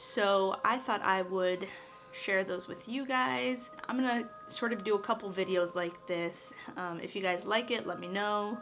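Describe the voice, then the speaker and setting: Over music in the background, a woman speaks at a medium pitch with lively intonation. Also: fairly slow pace. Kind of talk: storytelling to camera. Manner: casual.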